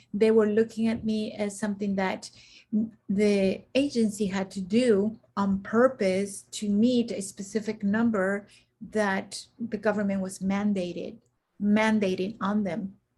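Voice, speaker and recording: A woman speaks in a somewhat breathy, dark, mellow tone at a medium pitch, with monotone, flat intonation. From Central America. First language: Spanish. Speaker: executive coach and military veteran. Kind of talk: interview.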